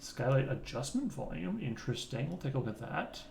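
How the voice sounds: Over faint background noise, a man speaks with big pitch swings, vocal fry and a slightly mellow tone.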